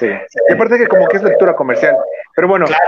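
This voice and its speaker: A man talks with a Mexican accent. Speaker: podcast host. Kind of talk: interview.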